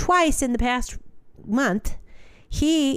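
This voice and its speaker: A woman speaks on a very clean recording against a silent background. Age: 50s. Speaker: podcast co-host, music person at a church. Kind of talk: casual faith chat.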